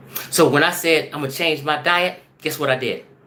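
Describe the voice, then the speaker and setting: The speaker's tone is animated. Noticeable background noise runs underneath. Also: man. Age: 50s. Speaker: video blogger. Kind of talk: casual monologue.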